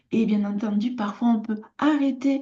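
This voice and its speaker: A woman speaks at a fairly slow pace. Her tone is dark and mellow, and somewhat breathy. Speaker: artisan and lifestyle vlogger. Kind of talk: casual personal vlog talk. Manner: hesitant, many filler sounds.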